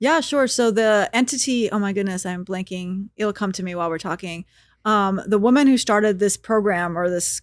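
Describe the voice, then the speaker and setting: A woman with an American accent speaks at a moderate pace in a normal speaking voice, medium in pitch with ordinary pitch variation. The recording is very clean with a silent background. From United States. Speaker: stand-up comedian and podcaster. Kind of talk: casual interview chat.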